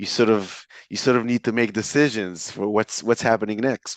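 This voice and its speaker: A man with an Israeli accent at a fairly quick pace, dry and close with no echo. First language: Hebrew. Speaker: entrepreneur and author. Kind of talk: interview. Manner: hesitant with fillers.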